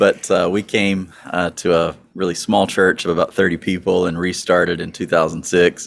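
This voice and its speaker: A man's very deep, low voice in a Southern US accent, monotone and flat, at a moderate pace. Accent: Southern US accent, noticeable. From US South, northwest mountains of North Carolina. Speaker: pastor. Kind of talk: casual interview.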